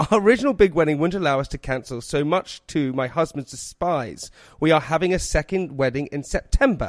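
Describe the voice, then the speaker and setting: A man with an unremarkable speaking voice talks at a fairly quick pace and a fairly high pitch, with lively intonation, in a dry, close sound with no echo. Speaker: podcast host. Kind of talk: casual chat.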